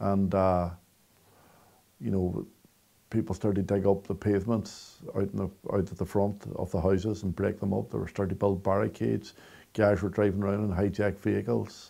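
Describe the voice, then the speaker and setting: Recorded very cleanly against a silent background, a man with a fairly low pitch and a dark, mellow tone speaks at a fairly quick pace with fairly even intonation and vocal fry. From Derry, Northern Ireland. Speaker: storyteller. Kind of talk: interview answer.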